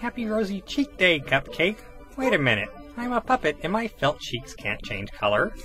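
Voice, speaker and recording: A cartoonish character voice talks at a moderate pace. Clear music plays in the background. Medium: puppet.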